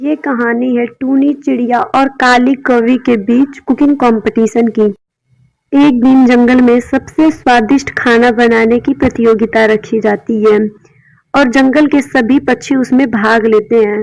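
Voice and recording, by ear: A woman with vocal fry and a slightly mellow tone speaks fairly slowly at a fairly high pitch, her intonation fairly even.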